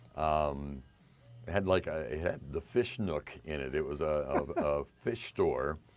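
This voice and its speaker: With music playing behind him, a man with an American accent speaks at a fairly slow pace in a very deep, low pitch with ordinary pitch variation. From western Pennsylvania. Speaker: radio DJ. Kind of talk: interview.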